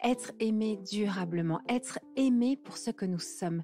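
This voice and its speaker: A woman's lively intonation over music in the background. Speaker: podcast host. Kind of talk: podcast intro narration.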